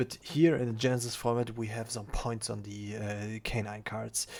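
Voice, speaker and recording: A man speaks at a medium pitch and moderate pace. His intonation is monotone and flat. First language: not English. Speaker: card game content creator. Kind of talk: gameplay replay commentary. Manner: halting, many fillers.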